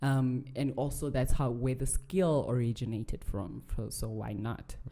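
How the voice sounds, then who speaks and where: The voice has a dark, mellow tone with vocal fry, ordinary pitch variation and a fairly slow pace. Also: woman, very deep, low pitch for a woman. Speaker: beauty pageant contestant and accessory designer. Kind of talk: podcast interview.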